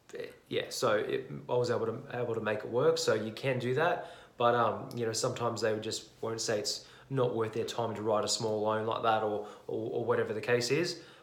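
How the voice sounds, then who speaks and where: A man with an Australian accent at a fairly quick pace, noticeable background noise and audible room echo. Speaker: property investor vlogger. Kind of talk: casual explainer video. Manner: fast; halting, many fillers and restarts.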